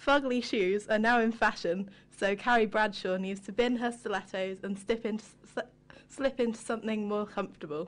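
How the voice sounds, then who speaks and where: This woman has an ordinary speaking voice, fairly high in pitch. She talks at a moderate pace with fairly even intonation. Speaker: co-host. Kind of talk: casual chat.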